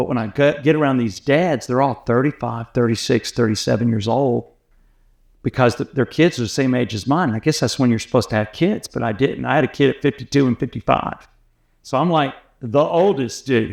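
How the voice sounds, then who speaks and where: Against a quiet background, a man with an American accent uses an ordinary speaking voice at a fairly quick pace, medium in pitch with ordinary pitch variation. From US South, Atlanta. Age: 60s. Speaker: radio host. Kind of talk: casual chat.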